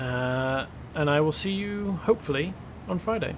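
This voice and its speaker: Fairly high-pitched male voice with lively intonation and noticeable background noise. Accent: British. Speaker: video game streamer. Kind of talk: casual gameplay commentary.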